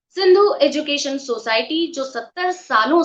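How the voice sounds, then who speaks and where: A woman speaks with lively intonation. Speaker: webinar host and dubbing director. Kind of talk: webinar host introduction. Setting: online webinar.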